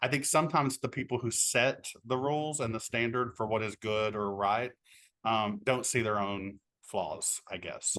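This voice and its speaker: Over a quiet background, a man with an Appalachian accent speaks at a moderate pace in a bright, sharp tone with ordinary pitch variation. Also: medium pitch for a man. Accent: Appalachian American. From Appalachia, Kentucky. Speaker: author and teacher. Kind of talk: interview.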